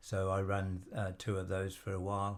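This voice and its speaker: A man with a very deep, low pitch comes through in a very clean recording with a silent background. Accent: English Midlands. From England, Stratford-upon-Avon, Warwickshire. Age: 80s+. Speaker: retired businessman and volunteer. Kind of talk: interview. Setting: studio. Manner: hesitant, many fillers.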